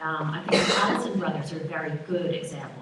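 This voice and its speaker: Speaking at a fairly quick pace, a woman with an American accent is heard with audible room echo and noticeable background noise. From US, New York. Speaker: business forum panelist. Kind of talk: panel talk.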